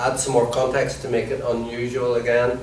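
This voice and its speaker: Noticeable background noise sits under this voice. A man with an Irish accent speaks at a medium pitch. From Ireland. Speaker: comedian and comedy trainer. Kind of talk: workshop instruction to a group.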